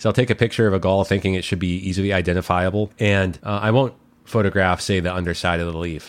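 Very deep and low in pitch, a man talks at a very fast pace with fairly even intonation. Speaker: podcast host, naturalist. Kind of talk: interview; scripted intro.

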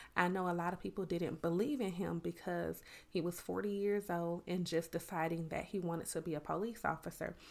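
A woman with a Southern US accent speaks at a moderate pace and fairly low pitch. Her intonation is fairly even, in a very clean recording with a silent background. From US South, Miami, Florida; lives in Georgia. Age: 30s. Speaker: podcast host and educator. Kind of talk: motivational monologue. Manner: relaxed, natural flow.

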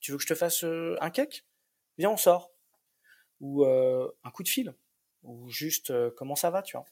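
This man's voice is fairly high for a man, with lively intonation, delivered at a very slow pace broken by long, frequent pauses. The sound is dry and close, with no echo. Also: big swings in loudness. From Paris region suburbs, France. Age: 30s. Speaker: single father. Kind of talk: interview testimony. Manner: halting, many repetitions.

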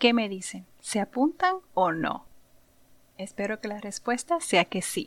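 A woman with a Puerto Rican accent, speaking at a very slow pace. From Puerto Rico (Santurce). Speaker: podcast host, insurance professional. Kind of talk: monologue podcast, informal advice.

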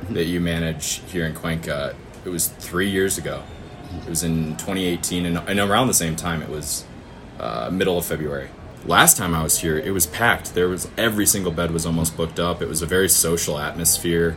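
Music plays in the background, with audible room echo, as a man talks at a fairly quick pace. His pitch is very deep and low, his intonation fairly even. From US Midwest (northern Michigan). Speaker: farmer. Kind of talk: interview.

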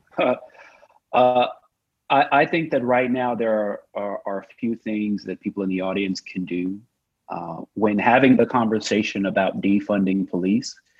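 With an American accent, a man in an ordinary speaking voice talks at a moderate pace, his fairly low pitch showing ordinary variation. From Oklahoma. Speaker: tech founder and activist. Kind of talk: panel discussion. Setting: video call.

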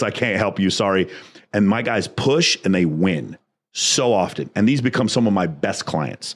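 An ordinary speaking voice from a man, fairly low in pitch, with lively intonation at a moderate pace. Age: 40s. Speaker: business coach and entrepreneur. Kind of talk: casual interview chat.

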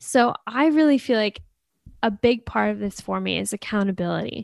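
A woman with an American accent speaks at a moderate pace in an unremarkable speaking voice, her pitch medium, the sound dry and close with no echo and the recording very clean against a silent background. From United States. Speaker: podcast co-host. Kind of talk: casual chat.

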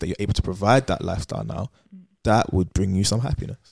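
Fairly low in pitch, a man speaks with fairly even intonation in a British accent. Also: dry, close sound with no echo. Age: 20s. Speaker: podcast co-host. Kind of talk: casual chat.

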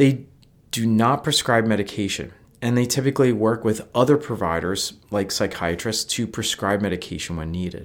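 A man with an American accent, medium pitch and ordinary pitch variation, on a very clean recording with a silent background. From US Northeast. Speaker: licensed mental health counselor and podcast host. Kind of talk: scripted narration. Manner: fast.

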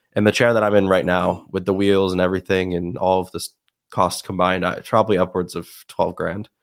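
A man's very deep, low voice, monotone and flat, at a fairly quick pace on a very clean recording with a silent background. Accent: American. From upstate New York. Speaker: student wheelchair athlete. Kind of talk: casual interview.

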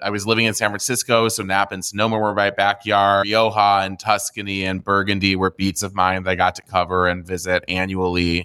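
A man speaks at a fairly quick pace with hardly any pauses, in a monotone, flat intonation at a fairly low pitch. His bright, sharp tone comes through a dry, close sound with no echo on a very clean recording with a silent background. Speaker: wine retailer co-founder, former wine journalist. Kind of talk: interview.

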